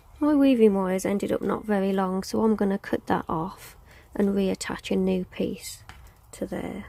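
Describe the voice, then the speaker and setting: A soft-spoken woman talks at a moderate pace. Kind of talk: tutorial.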